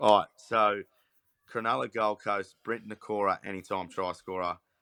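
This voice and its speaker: A man speaks at a moderate pace with a fairly low pitch, in an Australian accent. His tone is bright and sharp, his intonation flat and monotone, and the sound is dry and close with no echo. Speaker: sports podcast host. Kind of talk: casual chat.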